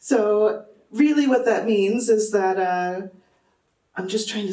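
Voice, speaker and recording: A fairly slow delivery with audible room echo. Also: woman. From Texas. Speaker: academic doing stand-up comedy. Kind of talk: stand-up. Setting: stage with audience.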